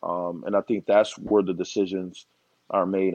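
An ordinary speaking voice goes at a fairly quick pace with fairly even intonation. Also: man. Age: 30s. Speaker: former college basketball player, construction business owner. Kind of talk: casual interview chat.

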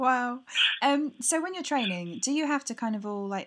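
Speaking with a British accent, a woman talks at a fairly quick pace with lively intonation. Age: 20s. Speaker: podcast host interviewing athletes. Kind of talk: casual interview.

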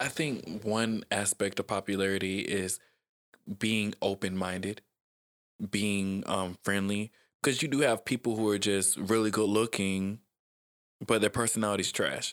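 A soft-spoken man with an American accent and a fairly low pitch, at a moderate pace with long, frequent pauses, fairly even intonation and very even loudness, dry and close with no echo, on a very clean recording with a silent background. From South Georgia, US. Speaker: author and motivational speaker. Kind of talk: casual interview chat. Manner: soft-spoken, laid back.

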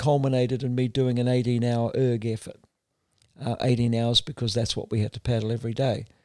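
A fairly quick pace in a New Zealand accent. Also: man. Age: 60s. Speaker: endurance kayak racer. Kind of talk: interview conversation.

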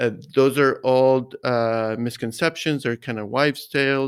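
This man's intonation is monotone and flat. He speaks at a fairly slow pace. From US, Mexican-American. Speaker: golf coach. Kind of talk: interview.

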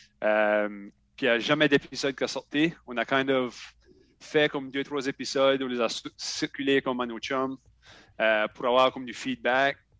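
Recorded with a dry, close sound and no echo, a man of medium pitch speaks at a moderate pace with fairly even intonation and long, frequent pauses. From Acadian New Brunswick (Shediac). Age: 30s. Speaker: podcaster and federal government employee. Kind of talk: casual interview chat.

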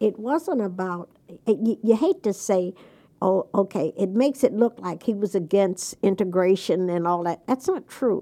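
A woman talks at a moderate pace in a dark, mellow tone, her pitch medium with ordinary variation. Her loudness swings widely. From US South, Jacksonville, Florida. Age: 80s+. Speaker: education advocate and political advisor. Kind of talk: interview. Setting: studio. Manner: outspoken, blunt.

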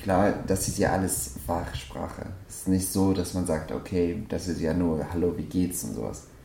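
A man's very deep, low voice at a moderate pace with ordinary pitch variation, amid noticeable background noise and audible room echo. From Afghanistan. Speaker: hairdresser and salon owner. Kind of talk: interview, life story. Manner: hesitant, many fillers.

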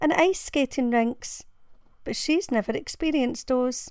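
In a Glaswegian accent, a woman speaks at a fairly slow pace and a high pitch on a very clean recording with a silent background. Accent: Glaswegian Scottish. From Glasgow, Scotland. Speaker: blogger and parent reading her own blog post. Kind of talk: dramatic narration of a personal blog essay, reading aloud with emotional emphasis. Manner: earnest, heartfelt, measured and emotive, building to a consoling direct address.

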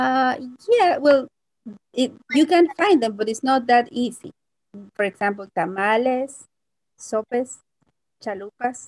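A woman with a Mexican accent, high in pitch, with lively intonation, a fairly slow pace and long, frequent pauses, in a dry, close sound with no echo. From Mexico, Puebla. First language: Spanish. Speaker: Spanish teacher. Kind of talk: interview. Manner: halting.

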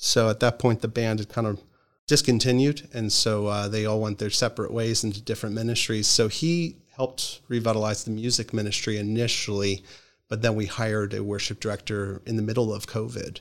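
An ordinary speaking voice with an American accent, fairly quick and fairly even in intonation, on a very clean recording with a silent background. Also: man, fairly low pitch for a man. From Philadelphia area, Pennsylvania. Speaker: pastor. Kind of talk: interview conversation.

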